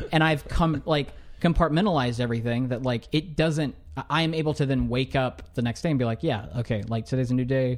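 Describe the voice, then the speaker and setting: A normal speaking voice at a fairly quick pace, with very even loudness. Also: man, medium pitch for a man, ordinary pitch variation. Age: 20s. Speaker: podcast guest, new father. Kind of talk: casual chat.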